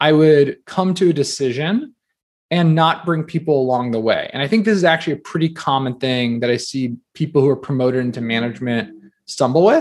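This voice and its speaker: A man with an American accent and an ordinary speaking voice talks at a fairly quick pace, with a fairly high pitch and ordinary pitch variation. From New Jersey, US. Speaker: entrepreneur and author. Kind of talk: interview conversation.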